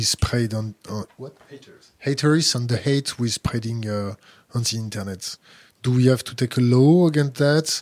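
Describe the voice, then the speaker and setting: With a French accent, a man speaks at a medium pitch with fairly even intonation, the sound dry and close with no echo. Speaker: interviewer. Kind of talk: interview. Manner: halting.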